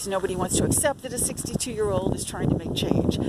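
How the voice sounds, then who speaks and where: A woman speaks over noticeable background noise. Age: 60s. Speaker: self-promoting writer and photographer. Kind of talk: video self-introduction. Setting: outdoors at a campground. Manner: hesitant, many fillers.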